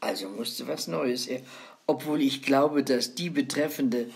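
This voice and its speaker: A woman with a very deep, low pitch speaks at a fairly slow pace, her voice making very wide pitch swings. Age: 90s. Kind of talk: casual chat.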